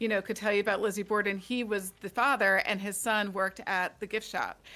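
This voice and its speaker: Speaking at a fairly quick pace with an American accent, a woman uses a bright, sharp tone at medium pitch, and the recording is very clean with a silent background. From Delaware County, Pennsylvania (Delco). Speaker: author. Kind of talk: casual interview chat. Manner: animated.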